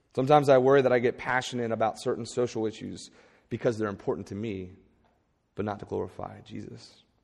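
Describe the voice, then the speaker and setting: Very fast and full of big loudness swings, a man speaks at a medium pitch with ordinary pitch variation and vocal fry. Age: 30s. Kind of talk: sermon.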